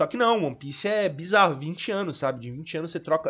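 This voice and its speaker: High-pitched male voice with ordinary pitch variation. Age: 20s. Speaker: podcast co-host, journalism student. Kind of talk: casual chat. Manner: halting.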